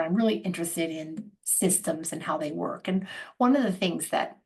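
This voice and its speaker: Fairly quick speech with vocal fry, ordinary pitch variation and an American accent. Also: woman. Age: 60s. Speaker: organizational psychologist and coach. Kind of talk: casual interview conversation. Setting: video call. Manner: halting, with frequent self-corrections.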